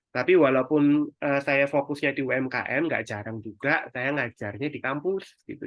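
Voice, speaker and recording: This man's voice sits at a medium pitch. He talks at a moderate speed. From East Java, Indonesia (Sidoarjo). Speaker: digital marketing mentor. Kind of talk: webinar presentation. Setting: online webinar. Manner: casual, conversational.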